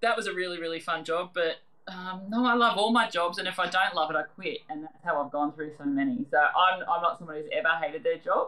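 She is a woman with an Australian accent and a medium pitch. Her pace is very fast, and her pitch varies in an ordinary way. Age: 40s. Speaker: quiz show contestant and restaurant manager. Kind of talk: casual chat.

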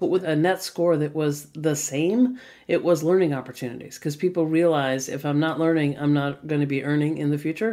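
Speaking at a fairly quick pace with hardly any pauses, a woman with a very deep, low pitch uses ordinary pitch variation on a very clean recording with a silent background. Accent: American. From US, Boston. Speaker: future of work strategist and author. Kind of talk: interview.

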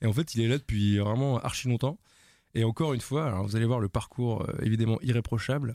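Medium-pitched male voice, dark and mellow, very fast, with fairly even intonation, dry and close with no echo, on a very clean recording against a silent background. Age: 30s. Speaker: podcast co-host. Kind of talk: casual chat.

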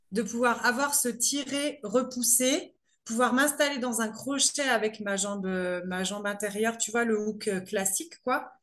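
Using a fairly high pitch and ordinary pitch variation, a woman speaks at a fairly slow pace. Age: 30s. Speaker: amateur pole dancer. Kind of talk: casual interview. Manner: halting, many hesitations.

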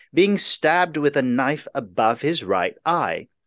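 At a very slow pace, the voice sounds dry and close with no echo against a quiet background. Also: man. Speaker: podcast host. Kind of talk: scripted podcast intro and interview.

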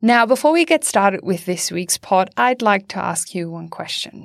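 A woman with a German accent speaks at a moderate pace. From Germany. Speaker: podcast host. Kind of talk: podcast hosting. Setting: studio.

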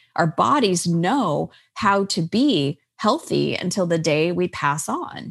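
A woman with an American accent speaks at a very slow pace in a fairly low pitch with vocal fry and lively intonation. The sound is dry and close, with no echo. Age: 50s. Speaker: life coach and author. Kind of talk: interview.

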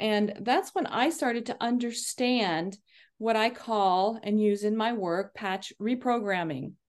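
A woman with an unremarkable speaking voice, fairly high in pitch and fairly slow in pace, over a quiet background. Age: 50s. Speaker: leadership coach. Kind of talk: interview.

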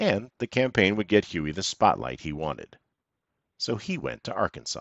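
Amused in tone, a man with a fairly low pitch and vocal fry speaks at a moderate pace, his pitch swinging very widely. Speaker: podcast narrator. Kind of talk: scripted history podcast narration. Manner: measured, polished storytelling with wry, dryly amused asides.

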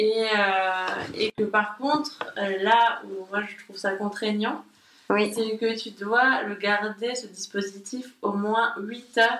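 Against noticeable background noise, a woman speaks at a very slow pace with fairly even intonation and big swings in loudness. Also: fairly high pitch for a woman. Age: 30s. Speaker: graphic designer. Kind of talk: casual chat. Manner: halting.

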